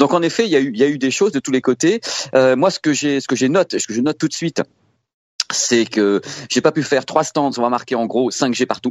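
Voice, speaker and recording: A man with medium pitch talks at a fairly quick pace. His pitch varies in an ordinary way. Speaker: tech journalist. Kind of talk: casual chat. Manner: animated.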